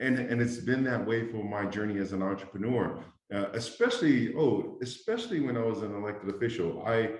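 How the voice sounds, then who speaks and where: A man talks at a fairly quick pace with hardly any pauses and fairly even intonation, amid noticeable background noise and audible room echo. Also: medium pitch for a man. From New Zealand (South Auckland), then Hawaii from age 12. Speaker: entrepreneur, former elected official. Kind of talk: interview.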